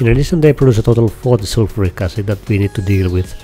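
Music plays in the background. A man talks very fast at a fairly low pitch, with ordinary pitch variation. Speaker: game tutorial creator. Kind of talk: game tutorial narration.

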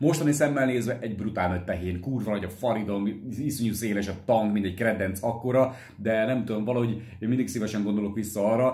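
A man talks at a very fast pace with hardly any pauses, fairly low in pitch with ordinary pitch variation. There is audible room echo against a quiet background. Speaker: motorcycle vlogger. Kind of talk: casual Q&A vlog chat. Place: home room. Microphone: phone near.

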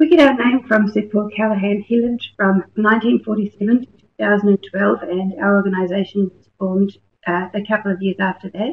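Speaking at a moderate pace with a New Zealand accent, the woman has a medium pitch, ordinary pitch variation and big swings in loudness. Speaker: research scientist. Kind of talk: webinar presentation. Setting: online webinar.

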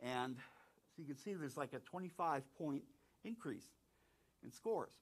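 An ordinary speaking voice comes from a man with an American accent, fairly high in pitch and lively in intonation. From southeastern North Carolina. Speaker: planetarium director. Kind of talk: conference talk. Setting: stage with audience and online viewers.

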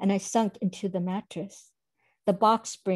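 Plain reading aloud with fairly even intonation over a quiet background.

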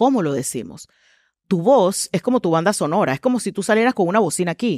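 Over a quiet background with dry sound and no echo, a woman at medium pitch talks at a fairly quick pace in an energetic tone with lively intonation. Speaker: communications trainer and speaker; communications trainer, speaker. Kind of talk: interview conversation. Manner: energetic, loud. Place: studio. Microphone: headset.

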